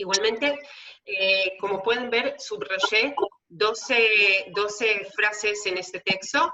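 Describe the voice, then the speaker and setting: Speaking with a Hebrew accent, a woman uses a fairly high voice. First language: Hebrew (speaking Spanish). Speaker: theologian and tour guide. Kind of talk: lecture. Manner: many filler hesitations.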